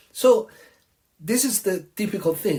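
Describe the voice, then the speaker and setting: Pitch swings very widely as a man talks with an Italian accent. His pace is fairly slow. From Italy (Tuscany). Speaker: restaurant owner. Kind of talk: opinion monologue. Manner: animated.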